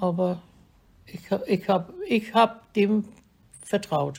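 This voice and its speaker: Somewhat breathy with a dark, mellow tone, a woman speaks at a medium pitch and a very slow pace with fairly even intonation. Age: 80s+. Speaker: elderly vaccine recipient. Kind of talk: recorded interview.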